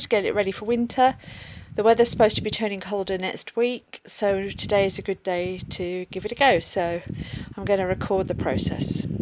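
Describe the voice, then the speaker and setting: A woman with an English accent at a moderate pace. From England. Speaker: artist and cat keeper. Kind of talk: casual vlog narration.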